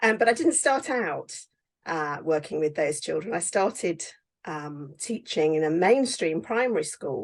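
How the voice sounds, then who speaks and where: Over a quiet background, a woman with a British accent speaks at a fairly slow pace. Her pitch is fairly low, with very wide pitch swings. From England. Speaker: teacher and author. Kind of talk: interview.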